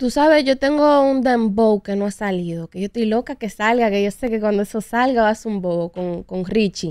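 Fairly high-pitched female voice, moderate pace, ordinary pitch variation, hardly any pauses, quiet background, dry sound with no echo. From New York, US (Dominican family). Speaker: urban music singer and songwriter; guest. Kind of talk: interview. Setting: studio. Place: studio. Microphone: studio mic.

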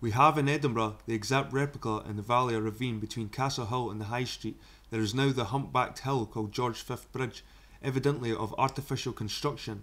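Speaking in a Scottish accent, a man moves at a fairly quick pace. His pitch is medium for a man. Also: fairly even intonation. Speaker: YouTuber reading a book aloud. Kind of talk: reading aloud; casual chat. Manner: halting.

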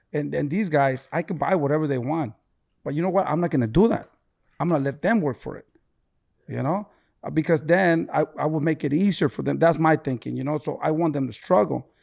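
A man's fairly quick speech with ordinary pitch variation, a normal speaking voice on a very clean recording with a silent background. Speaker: boxing trainer, father of boxer. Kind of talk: casual chat.

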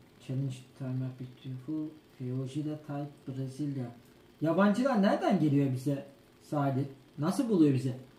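A man's fairly high voice comes through with audible room echo. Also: ordinary pitch variation, moderate pace. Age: 30s. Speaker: gaming streamer. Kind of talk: live stream cooking chat. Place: kitchen. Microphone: camera far.

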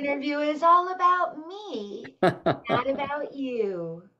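A put-on character voice, female-sounding and high for a woman. It moves at a fairly slow pace. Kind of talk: talking to children. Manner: self-absorbed, haughty.

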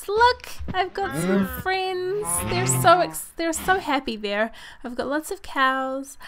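Upbeat and high-pitched, a woman talks at a very slow pace. Her pitch swings very widely. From New Zealand. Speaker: gaming video creator. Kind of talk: casual let's play commentary.

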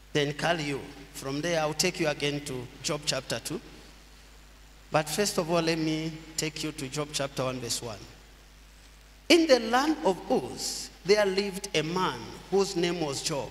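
Light background noise sits behind a man speaking at a fairly slow pace. He leaves long, frequent pauses and uses ordinary pitch variation. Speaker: pastor. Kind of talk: sermon, scripture reading. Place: church. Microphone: podium.

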